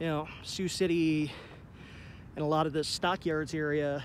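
A man talks at a fairly slow pace. The sound is dry with no echo, with light background noise. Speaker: vlogger documenting an abandoned plant. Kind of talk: casual vlog chat. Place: street. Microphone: phone near.

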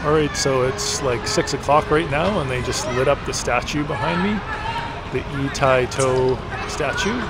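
Loud background noise sits under a man talking at a moderate pace with ordinary pitch variation. The sound is dry, with no echo. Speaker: travel vlogger. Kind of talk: casual vlog chat. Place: street. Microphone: phone near.

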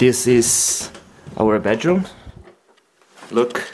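A man speaks with a non-native accent. His pace is fairly slow. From Brazil. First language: Portuguese. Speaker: exchange student. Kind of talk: casual vlog house tour.

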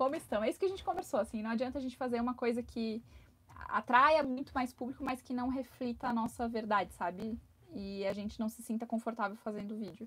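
Very fast speech from a woman, fairly high in pitch and with ordinary pitch variation. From Brazil. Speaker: travel vlogger. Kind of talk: live stream chat. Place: home room. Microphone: lapel.

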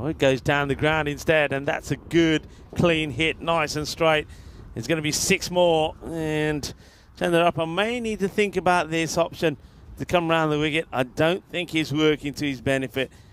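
Speaking at a moderate pace in a normal speaking voice, a man keeps a fairly high pitch and fairly even intonation. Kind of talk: cricket commentary. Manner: relaxed, dry, bantering co-commentator.

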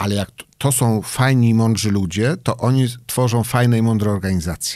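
Against a quiet background, a man with a fairly low pitch speaks at a fairly quick pace, the sound dry with no echo. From Poland, Elbląg (Warmia); Poland. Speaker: tech company CEO; podcast guest. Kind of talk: interview. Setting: studio. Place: studio. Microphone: studio mic.

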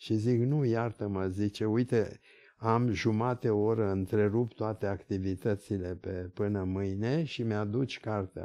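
Against a quiet background, a man talks fairly slowly with a fairly low pitch, a dark, mellow tone, and fairly even intonation. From Bulgaria, then Paris and Romania. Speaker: neurology professor; interview guest. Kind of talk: interview anecdote. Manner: halting. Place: office. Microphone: studio mic.

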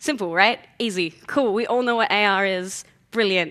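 This woman talks at a moderate pace with ordinary pitch variation. Her tone is bright and sharp, and the background is quiet. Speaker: conference speaker. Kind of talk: conference talk. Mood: light, joking. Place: hall.

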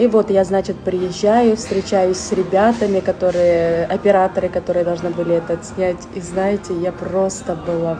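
A woman at a moderate pace, flat and monotone, with noticeable background noise. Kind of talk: personal testimony vlog. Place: home room. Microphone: phone near.

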